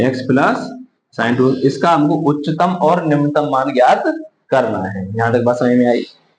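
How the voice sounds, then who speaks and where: Audible room echo surrounds a man speaking at medium pitch. He talks at a fairly slow pace with ordinary pitch variation. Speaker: math teacher. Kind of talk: lecture.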